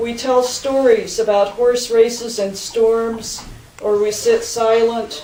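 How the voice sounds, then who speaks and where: Amid noticeable background noise, the speech moves at a very slow pace in a monotone, flat intonation. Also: woman. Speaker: poet. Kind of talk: poetry reading.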